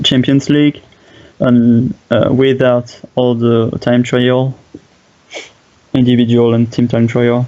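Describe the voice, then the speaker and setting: Through noticeable background noise, a man with a French accent speaks at a very slow pace in a medium pitch with monotone, flat intonation. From France. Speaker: game streamer and commentator. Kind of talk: live game commentary. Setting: live stream. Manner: halting, many fillers.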